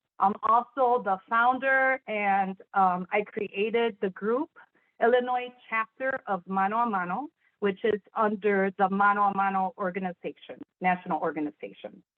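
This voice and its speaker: With a Spanish accent, a woman speaks at a moderate pace and medium pitch, using ordinary pitch variation. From Chicago, Puerto Rican family. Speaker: sign language interpreter. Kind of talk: panel discussion.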